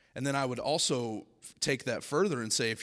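In a very clean recording with a silent background, a man with an American accent talks at a very fast pace. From US South. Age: 20s. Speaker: speaker at a school spiritual week. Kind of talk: Q and A with students. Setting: stage with student audience.

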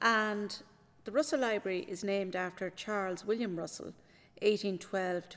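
On a very clean recording with a silent background, a voice with an Irish accent moves at a moderate pace with fairly even intonation. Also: woman. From Ireland, County Kildare. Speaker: senior library assistant. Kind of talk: interview.

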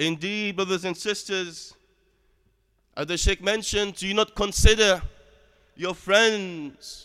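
In a raised, projected voice, a man with a high pitch and a bright, sharp tone speaks at a fairly slow pace with fairly even intonation. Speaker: preacher. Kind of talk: Friday sermon (khutbah) opening with Arabic formula, then solemn exhortation on death. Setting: mosque. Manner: earnest, admonishing, steady preaching cadence; formal, measured, with Arabic phrases.

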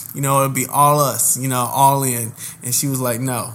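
Audible room echo surrounds a man with an American accent and a fairly high-pitched voice. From Indianapolis, Indiana. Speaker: podcast co-host. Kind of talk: casual chat.

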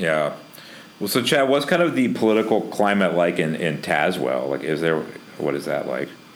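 A man with an American accent speaks at a moderate pace in a very deep, low voice, his pitch swinging very widely. Noticeable background noise is present. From US South. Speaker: podcast host. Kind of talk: casual chat.

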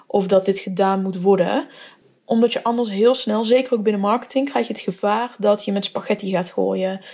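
At a moderate pace, a woman speaks at medium pitch in an ordinary speaking voice, her intonation fairly even. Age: 20s. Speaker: brand marketer and podcast host. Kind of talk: solo podcast monologue. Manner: casual with many filler words.

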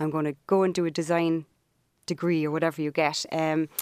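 In a very clean recording with a silent background, a woman with an American accent sounds dry and close, with no echo. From Ireland, Cork. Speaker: business owner, brand storyteller. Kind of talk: casual interview.

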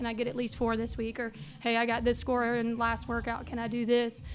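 A woman with a Mississippi accent speaks at a fairly quick pace in a fairly high pitch, with music in the background. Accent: US Southern (Mississippi). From Mississippi (Brandon, Flowood area). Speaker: high school soccer coach and teacher. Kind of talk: casual interview.

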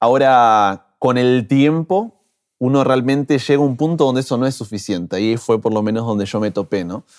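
A man speaks at a moderate pace and medium pitch, with ordinary pitch variation and an unremarkable speaking voice. The recording is very clean, with a silent background. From Argentina, Buenos Aires. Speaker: pastor and social media creator. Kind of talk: interview. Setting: in-person interview.

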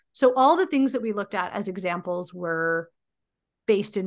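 Over a quiet background, a woman speaks at a medium pitch in an unremarkable speaking voice. Her pitch variation is ordinary and her pace moderate. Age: 40s. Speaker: teacher and PhD candidate, podcaster. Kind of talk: interview conversation.

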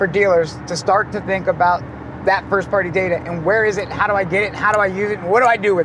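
A man with an American accent, very fast and animated, over noticeable background noise. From Ohio, US Midwest. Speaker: automotive marketing entrepreneur. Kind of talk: casual interview. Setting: in a convertible car.

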